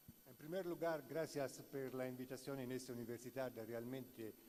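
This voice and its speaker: A man's medium-pitched voice with an Italian accent, dark and mellow in tone, at a fairly slow pace. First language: Italian (speaking Spanish). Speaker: law professor. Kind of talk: conference lecture read aloud. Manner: halting.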